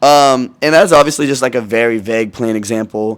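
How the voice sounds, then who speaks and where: Ordinary pitch variation from a man at a medium pitch. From US Pacific Northwest, Washington state. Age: 20s. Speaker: YouTuber. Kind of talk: casual vlog monologue. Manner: casual, many fillers.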